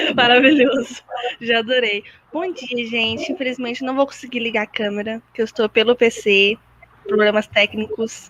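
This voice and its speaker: A woman with a fairly high pitch and ordinary pitch variation speaks at a moderate pace while noticeable background noise plays. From Minas Gerais, Brazil. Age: 20s. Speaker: occupational therapy student. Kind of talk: casual chat. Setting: video call.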